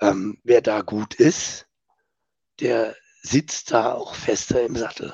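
The sound is dry and close with no echo as a somewhat breathy man speaks at a medium pitch with ordinary pitch variation. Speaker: sales coach, podcast co-host. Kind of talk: casual chat.

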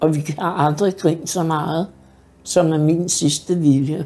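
A woman with a fairly low pitch and a dark, mellow tone speaks at a very slow pace. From Denmark, Hobro area. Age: 60s. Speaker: care home resident. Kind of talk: life story interview. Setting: in her apartment. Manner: hesitant with fillers.

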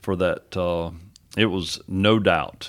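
A man with a Texan accent and a very deep, low voice, speaking at a very slow pace on a very clean recording with a silent background. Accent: Texan Southern American. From East Texas (Henderson). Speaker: pastor. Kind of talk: casual interview.

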